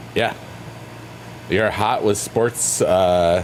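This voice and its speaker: Music plays behind a man speaking very slowly in a playful, relaxed tone with ordinary pitch variation. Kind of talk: casual livestream chat.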